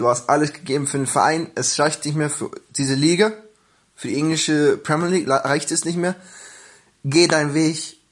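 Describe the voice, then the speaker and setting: A man with a plain, everyday voice speaks at a moderate pace and fairly high pitch, keeping his intonation fairly even. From Germany, Hildesheim (Lower Saxony). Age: 20s. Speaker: football fan. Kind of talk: personal fan story.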